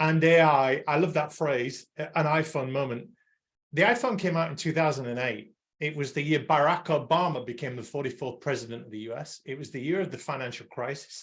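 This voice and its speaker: Somewhat breathy and fairly high in pitch, a man talks at a fairly quick pace with ordinary pitch variation and big swings in loudness. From England. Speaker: podcast host and accounting-industry consultant. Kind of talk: panel discussion.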